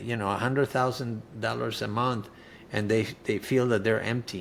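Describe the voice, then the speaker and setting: A man speaks with a Spanish accent at medium pitch. His intonation is fairly even. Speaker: cancer survivor and author. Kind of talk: interview testimony. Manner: halting, with many fillers.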